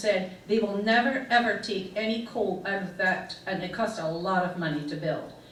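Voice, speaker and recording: With audible room echo and noticeable background noise, a woman speaks at a medium pitch and moderate pace with ordinary pitch variation. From Scotland, Fife (Thornton). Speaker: club presenter sharing her life story. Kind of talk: illustrated talk with slides.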